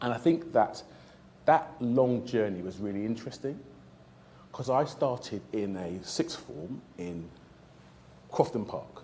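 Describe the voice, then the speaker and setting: In a South London accent, a man speaks at a fairly slow pace and medium pitch with a dark, mellow tone, lively intonation, long, frequent pauses and audible room echo. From South London (Lewisham). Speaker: trauma surgeon. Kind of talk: career talk to audience. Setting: stage with audience.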